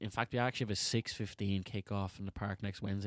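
A man with a Dublin accent speaks at a very fast pace with a fairly low pitch. His pitch variation is ordinary, and the recording is very clean with a silent background. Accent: Dublin Irish. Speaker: podcast host, amateur football team player. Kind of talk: casual banter. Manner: silly, joking.

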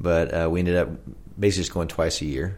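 Here a man talks with an American accent. His pitch is very deep and low. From Oklahoma, US. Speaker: camp executive director. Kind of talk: casual interview, sharing personal testimony.

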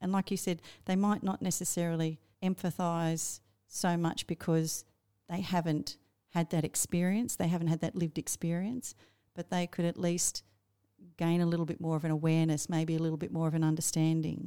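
A woman with an Australian accent talks at a fairly quick pace with a fairly low pitch and monotone, flat intonation. The sound is dry and close with no echo, a very clean recording with a silent background. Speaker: teacher librarian and podcast co-host. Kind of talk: casual book discussion.

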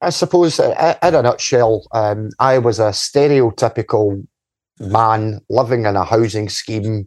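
A man with a west of Scotland accent speaks fairly slowly with ordinary pitch variation, the sound dry and close with no echo over a quiet background. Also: medium pitch for a man. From Scotland, Paisley area (Ferguslie Park). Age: 40s. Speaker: community activist. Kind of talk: casual interview.

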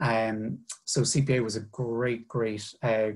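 Fairly even intonation in a Cork accent. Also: man. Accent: Irish (Cork). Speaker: finance manager. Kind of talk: career talk to students. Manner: halting, many fillers.

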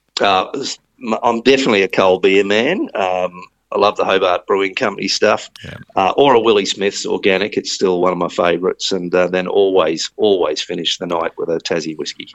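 This man talks with an Australian accent at a moderate pace. He leaves hardly any pauses. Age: 50s. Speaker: tourism agency chief executive. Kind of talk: interview.

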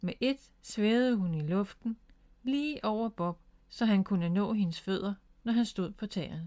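Natural voice for reading, ordinary in pitch variation

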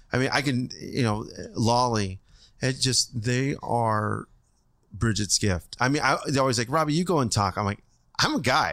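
A man with an American accent and a plain, everyday voice, medium in pitch with ordinary pitch variation, at a moderate pace, very even in loudness, on a very clean recording with a silent background. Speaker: former firefighter and restaurant family owner. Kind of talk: casual interview.

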